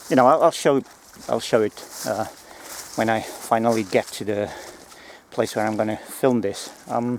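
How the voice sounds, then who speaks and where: Over noticeable background noise, a man talks with fairly even intonation and leaves long, frequent pauses. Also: medium pitch for a man, moderate pace. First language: not English. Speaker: gear reviewer, former close protection operative. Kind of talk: product review video. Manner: halting, many fillers and restarts.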